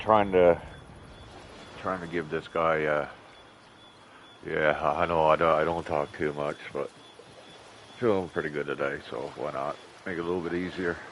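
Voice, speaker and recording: Amid noticeable background noise, a man with a very deep, low pitch speaks at a moderate pace with fairly even intonation and long, frequent pauses. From Newfoundland, Canada. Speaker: gaming streamer, truck driver. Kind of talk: casual live-stream chat. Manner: hesitant, many fillers.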